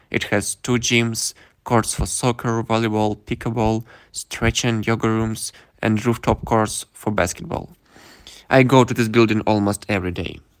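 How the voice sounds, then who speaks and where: Speaking with a Russian accent, a man keeps a medium pitch and fairly even intonation in a very clean recording with a silent background. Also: moderate pace. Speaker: exchange student. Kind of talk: interview.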